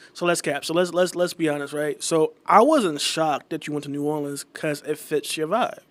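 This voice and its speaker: An unremarkable speaking voice, a man with an American accent talks at a moderate pace with hardly any pauses, a fairly high pitch and ordinary pitch variation, on a very clean recording with a silent background. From Tampa, Florida. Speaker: podcast host. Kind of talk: casual chat.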